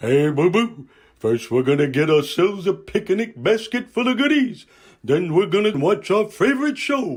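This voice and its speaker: Speaking in a cartoonish character voice, a man uses a high pitch. His pace is moderate. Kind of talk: cartoon character impression.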